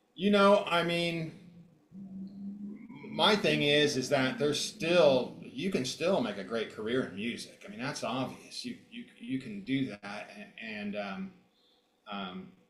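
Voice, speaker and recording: Audible room echo surrounds the voice. Its loudness swings a lot, and its pitch swings very widely. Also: man, fairly high pitch for a man, fairly slow pace. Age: 60s. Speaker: guitarist and producer. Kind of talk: casual interview.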